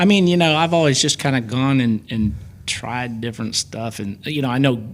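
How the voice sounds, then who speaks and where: A normal speaking voice from a man with an American accent, at a moderate pace and medium pitch, with lively intonation. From US Midwest, Belleville Illinois. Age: 50s. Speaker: car photographer. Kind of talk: casual chat.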